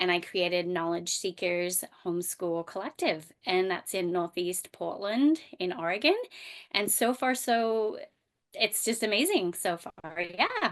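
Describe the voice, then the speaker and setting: A woman talks with an Australian accent at a fairly slow pace. Her pitch varies in an ordinary way against a quiet background. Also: medium pitch for a woman. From Australia, rural bush. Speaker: homeschooling mom and microschool founder. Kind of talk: podcast interview. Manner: hesitant, many fillers.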